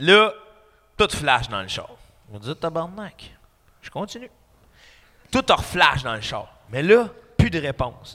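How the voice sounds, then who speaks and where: Very slow and broken by long, frequent pauses, a man's fairly high, bright and sharp voice shows vocal fry, very wide pitch swings and big shifts in loudness. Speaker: comedian. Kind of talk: casual chat. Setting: studio with live audience.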